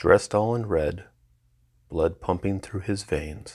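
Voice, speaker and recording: Speaking at a very slow pace, a man keeps his intonation fairly even. His voice is fairly low and somewhat breathy. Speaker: podcast host reading own poetry. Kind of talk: poetry reading; casual intro. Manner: voice may quiver with emotion.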